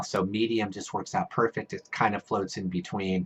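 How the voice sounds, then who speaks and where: Speaking at a moderate pace, the man has a fairly low pitch and fairly even intonation. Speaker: mountain biking YouTuber. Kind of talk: product review tutorial. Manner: halting, many fillers and restarts; casual.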